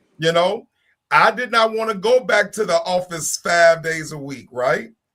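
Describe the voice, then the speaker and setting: A man speaks in an American accent at a high pitch. He talks fairly slowly. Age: 50s. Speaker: panelist on a talk show. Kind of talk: casual panel discussion.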